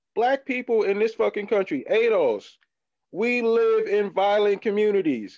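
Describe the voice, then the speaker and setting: This man has an American accent and talks at a moderate pace. His loudness stays very even throughout. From US Midwest. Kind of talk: casual chat. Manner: halting.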